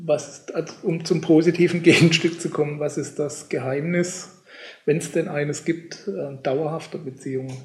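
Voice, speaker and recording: Amid noticeable background noise, a man with a fairly high pitch talks at a moderate pace with fairly even intonation. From Germany. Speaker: podcast host. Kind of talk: interview.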